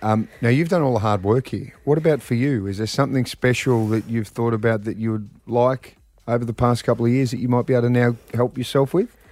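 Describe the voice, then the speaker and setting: This man has an unremarkable speaking voice, pitched in the medium range with ordinary pitch variation. He talks at a fairly quick pace with hardly any pauses. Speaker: radio host. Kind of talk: radio DJ patter hosting a contest game show. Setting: radio studio. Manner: chatty, upbeat, bantering.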